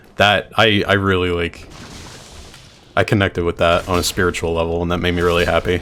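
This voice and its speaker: A man with a very deep, low pitch speaks at a fairly quick pace, with long, frequent pauses and monotone, flat intonation. Noticeable background noise is present. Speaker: streamer. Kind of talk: gameplay commentary. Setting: live stream. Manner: casual, rambling.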